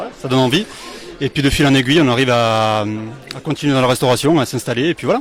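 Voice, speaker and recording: Music plays behind a man speaking very fast at a medium pitch. His pitch variation is ordinary, and he takes long, frequent pauses. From France, Lozère (southern Massif Central). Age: 30s. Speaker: bar owner. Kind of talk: interview.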